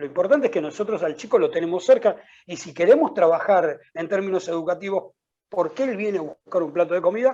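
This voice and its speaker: A man with a dark, mellow tone talks at a fairly quick pace, his pitch swinging very widely. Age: 50s. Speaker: education consultant. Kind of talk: interview. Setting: video call. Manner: halting.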